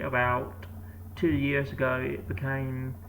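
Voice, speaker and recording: Noticeable background noise sits behind the voice. The pace is fairly slow, with ordinary pitch variation. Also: man. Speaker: cochlear implant user. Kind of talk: casual talk to camera.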